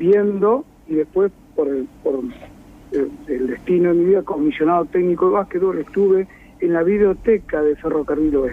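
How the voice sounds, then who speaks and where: Lively in intonation, a man speaks at a high pitch and a moderate pace. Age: old. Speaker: retired physical education teacher. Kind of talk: radio interview.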